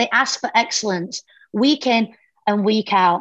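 A woman speaks in a British accent. Her pitch is fairly high, with ordinary pitch variation. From UK. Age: 40s. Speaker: fitness coach. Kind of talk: casual chat.

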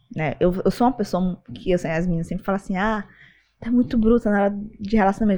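A woman with a plain, everyday voice, medium pitch and a fairly quick pace, over a quiet background. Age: 20s. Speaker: MMA and Chinese boxing fighter. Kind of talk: casual interview chat.

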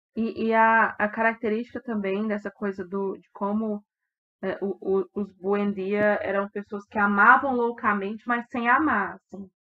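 A normal speaking voice at a fairly slow pace, with big swings in loudness. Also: woman, medium pitch for a woman. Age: 20s. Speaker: book podcast co-host. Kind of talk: casual book discussion.

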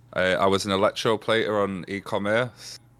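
A man talks at a moderate pace in a normal speaking voice, fairly low in pitch with fairly even intonation. The recording is very clean, with a silent background. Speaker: Twitch streamer. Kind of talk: casual interview chat.

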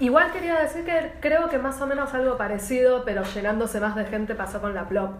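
A woman with a Rioplatense accent talks fairly quickly in a high voice with lively intonation and hardly any pauses. Audible room echo and noticeable background noise accompany her. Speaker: podcast co-host. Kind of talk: casual chat.

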